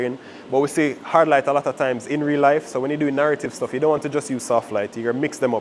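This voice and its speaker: Noticeable background noise accompanies a man talking fairly quickly at a fairly high pitch. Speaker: videography workshop instructor. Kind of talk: workshop lecture. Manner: too quiet for the room; casual, with fillers and self-corrections.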